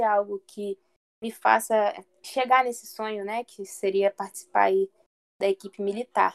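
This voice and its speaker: A woman at a fairly slow pace, with a dry, close sound with no echo. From Brazil, Maricá, Rio de Janeiro state. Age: 20s. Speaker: athlete, lifesaving swimmer and navy sergeant. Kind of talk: interview.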